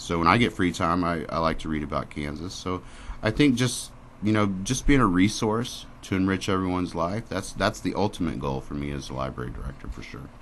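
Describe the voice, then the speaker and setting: A man with a Midwestern US accent speaks at a fairly quick pace in a very deep, low voice, his intonation lively and edged with vocal fry. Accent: US Midwest. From Springfield, Missouri. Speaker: library director. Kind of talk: radio interview. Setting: radio studio. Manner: loud.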